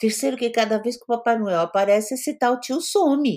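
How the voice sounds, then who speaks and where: A woman's voice leaps across a huge pitch range in a spotless recording with total background silence. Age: 60s. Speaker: psychologist. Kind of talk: interview.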